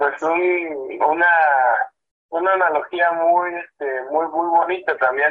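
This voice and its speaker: A man speaks at a fairly slow pace with a high pitch. His intonation stays fairly even. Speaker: band percussionist. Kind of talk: radio interview. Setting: phone call. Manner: halting.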